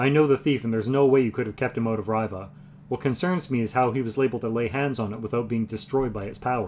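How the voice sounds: The clip carries a natural reading voice with fairly even intonation.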